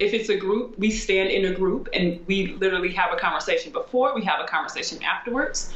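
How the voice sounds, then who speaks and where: A woman with an American accent at a medium pitch, amid noticeable background noise and audible room echo. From US Midwest (St. Louis, Missouri). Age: 30s. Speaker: former pro basketball player, coach and author. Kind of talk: casual interview chat.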